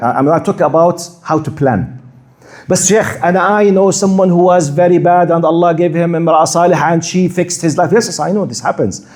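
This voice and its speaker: In an audible room echo, a man with a Jordanian accent speaks fairly quickly in a high voice with ordinary pitch variation. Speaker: Islamic preacher. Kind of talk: lecture. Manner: halting, repeats words.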